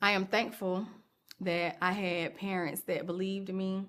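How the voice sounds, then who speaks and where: A medium-pitched woman's voice, fairly slow and monotone, with flat intonation. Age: 40s. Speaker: video blogger. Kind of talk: personal testimony.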